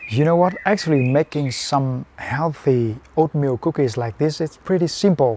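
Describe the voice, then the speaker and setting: This man's voice sits at a fairly high pitch. The tone is dark and mellow. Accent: Vietnamese. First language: Vietnamese. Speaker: fitness and cooking video creator. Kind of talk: cooking tutorial. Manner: simple, halting English with fillers.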